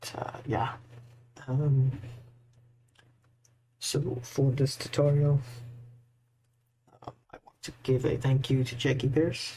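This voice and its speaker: Medium-pitched, somewhat breathy male voice, monotone and flat, at a very slow pace. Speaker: modding tutorial creator. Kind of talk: screen-recorded tutorial.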